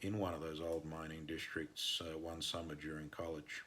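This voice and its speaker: A bright, sharp tone with an Australian accent. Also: man. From northern Australia. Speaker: mining engineer and consultant. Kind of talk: podcast interview answers.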